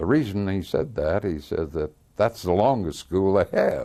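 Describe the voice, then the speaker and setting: A man with an American accent speaks in a dark, mellow tone marked by vocal fry. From US Midwest, Missouri (Lafayette County). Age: 80s+. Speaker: World War II veteran. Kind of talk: oral history interview. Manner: halting, many fillers.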